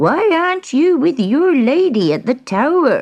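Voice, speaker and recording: In a put-on character voice, the speaker talks at a moderate pace with a high pitch. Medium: read story.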